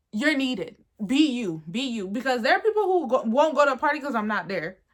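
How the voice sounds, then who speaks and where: Loud and animated, a woman with a high pitch talks fairly quickly, her pitch swinging very widely. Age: 20s. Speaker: YouTuber. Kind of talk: casual vlog monologue. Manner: loud, animated.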